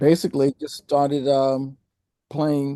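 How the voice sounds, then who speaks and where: Over a quiet background, a man with a dark, mellow tone speaks at a fairly high pitch and a fairly slow pace. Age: 70s. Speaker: jazz bassist. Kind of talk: interview. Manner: halting, many restarts.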